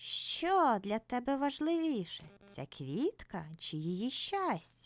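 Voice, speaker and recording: A female-sounding, put-on character voice at high pitch goes at a very slow pace with hardly any pauses. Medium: audio drama. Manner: hissing, solemn.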